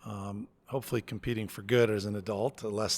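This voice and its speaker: An unremarkable speaking voice from a man with an American accent, medium pitch, fairly even intonation and a moderate pace. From US Northeast, Connecticut near New York City. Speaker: college president. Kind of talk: podcast interview.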